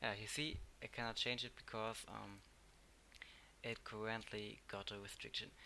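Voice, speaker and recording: A man of medium pitch speaks with a German accent. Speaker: tech tutorial youtuber. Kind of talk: tutorial. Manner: halting.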